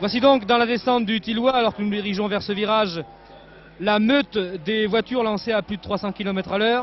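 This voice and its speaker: A man shouts loudly at a fairly quick pace, his pitch high and intonation fairly even. Noticeable background noise sits behind him. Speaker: motor racing commentator. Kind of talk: live commentary. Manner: loud, near shouting.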